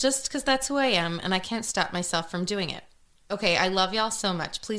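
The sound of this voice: The clip features an unforced reading voice.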